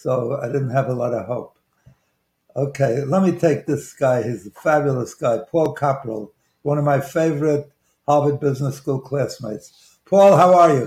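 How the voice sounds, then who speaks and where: The voice belongs to a man and sounds somewhat breathy. Its pitch is fairly high. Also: ordinary pitch variation, moderate pace. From Brooklyn, New York. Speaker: investment banker and author. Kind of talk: radio talk show, life story interview. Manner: halting, hesitant, with fillers and restarts; humorous, self-deprecating.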